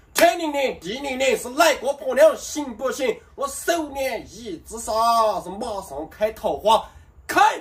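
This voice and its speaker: A man's extremely high, playful voice with very wide pitch swings at a very slow pace. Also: big swings in loudness. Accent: Guizhou. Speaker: short video performer. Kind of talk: comedic rhyming patter. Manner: playful, joking. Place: street.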